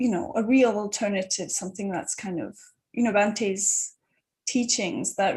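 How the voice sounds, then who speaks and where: A woman's somewhat breathy, medium-pitched voice at a moderate pace with ordinary pitch variation. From Turkey. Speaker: Buddhist panelist. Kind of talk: panel discussion.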